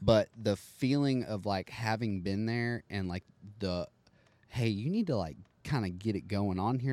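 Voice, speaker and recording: Heard in a dry, close sound with no echo, a man speaks at a fairly slow pace and fairly low pitch with ordinary pitch variation. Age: 20s. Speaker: professional bareback rider. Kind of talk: casual interview chat.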